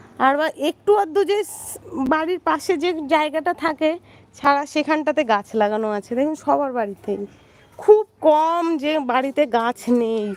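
A woman speaks with a high pitch and lively intonation. The sound is dry and close with no echo, though there is noticeable background noise. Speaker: vlogger. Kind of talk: casual live stream chat. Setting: rooftop, outdoors.

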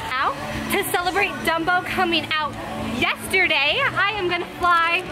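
Over clear background music, a woman speaks in a raised, projected voice. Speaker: vlogger. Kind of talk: casual vlog chat. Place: street. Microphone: phone near.

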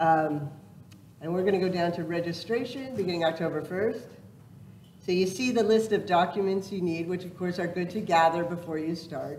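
A woman with a fairly low pitch and ordinary pitch variation speaks at a moderate pace, with long, frequent pauses and audible room echo. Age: 60s. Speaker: state first lady demonstrating an online system. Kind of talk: live software demonstration at a public event. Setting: public library event with audience.

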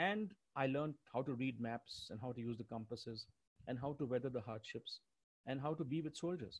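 This man talks at a fairly quick pace in a medium pitch with ordinary pitch variation. His voice is somewhat breathy. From India. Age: 60s. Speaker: retired school deputy headmaster. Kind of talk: personal talk. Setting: online webinar. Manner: halting.

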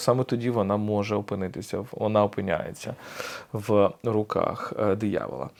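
In an ordinary speaking voice, a man talks at a moderate pace and a fairly low pitch. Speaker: podcast host, philosopher. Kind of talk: solo lecture.

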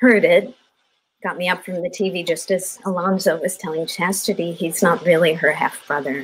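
Over light background noise, a woman with a fairly low pitch and a somewhat breathy voice talks at a moderate pace with fairly even intonation. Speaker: actor, workshop participant; actor. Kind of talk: dramatic scene reading. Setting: video call. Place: home room.

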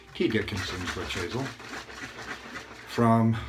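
A man's medium-pitched voice with ordinary pitch variation, very slow pace and noticeable background noise. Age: 50s. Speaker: YouTuber reviewing shaving gear. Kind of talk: casual vlog monologue with shaving tutorial. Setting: at home, recording himself. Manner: relaxed, filler-heavy. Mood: relaxed storytelling. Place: bathroom. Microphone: phone near.

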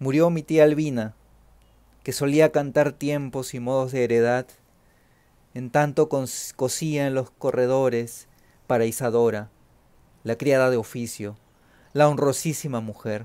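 In a very clean recording with a silent background, a man with a medium-pitched, dark, mellow voice speaks at a fairly slow pace with fairly even intonation and long, frequent pauses. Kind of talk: poetry reading aloud, solemn elegiac litany of deaths. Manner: slow, measured, somber.

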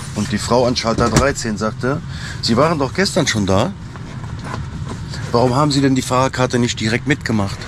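A man's fairly quick voice with ordinary pitch variation, dry and echo-free, over noticeable background noise. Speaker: truck driver vlogger. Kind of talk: casual vlog chat. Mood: annoyed storytelling about an office. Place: car. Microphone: phone near.

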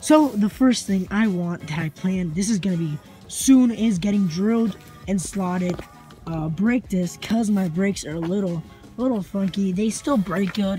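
Dry with no echo and faint music in the background, the voice moves at a moderate pace with ordinary pitch variation. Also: woman. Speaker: car owner vlogger. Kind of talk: casual vlog chat. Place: street. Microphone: phone near.

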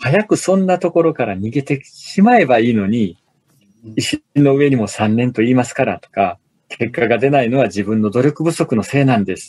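A man with a normal speaking voice, medium pitch, lively intonation and big swings in loudness, at a moderate pace, in a dry, close sound with no echo. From Osaka, Japan. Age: 40s. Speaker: business author and corporate manager. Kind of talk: casual interview.

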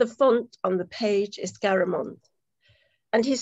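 Against a quiet background, a woman speaks at a very slow pace. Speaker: poetry event host. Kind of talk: hosting an online poetry reading. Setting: video call. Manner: warm, chatty. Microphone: video call.

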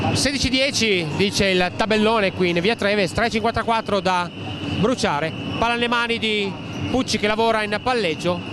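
Over noticeable background noise, a man speaks at a fairly slow pace in a dry sound with no echo. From Italy. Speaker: basketball commentator. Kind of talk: live sports commentary. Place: stadium.

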